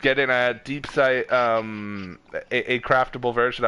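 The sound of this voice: Intonation remains fairly even throughout this unforced reading voice.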